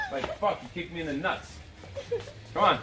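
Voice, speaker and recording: A man talks at a fairly quick pace. Background noise is noticeable. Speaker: kickboxing coach. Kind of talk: workout coaching instructions. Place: garden.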